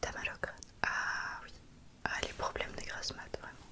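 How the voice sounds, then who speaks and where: A woman whispers at a moderate pace. Noticeable background noise sits behind her. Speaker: ASMR content creator. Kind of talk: ASMR roleplay, caring friend soothing a headache. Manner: whispered, soft-spoken. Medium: role play.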